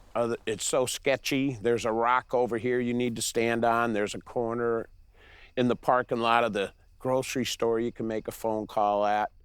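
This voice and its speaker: On a very clean recording with a silent background, a man speaks at medium pitch and a moderate pace with monotone, flat intonation. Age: 60s. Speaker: chainsaw carver. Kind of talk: documentary interview.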